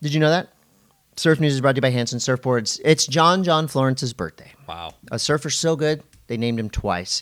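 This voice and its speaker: With a plain, everyday voice, a man speaks at a fairly high pitch and a fairly quick pace, his intonation lively, on a very clean recording with a silent background. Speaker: event host and podcaster. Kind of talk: casual banter podcast.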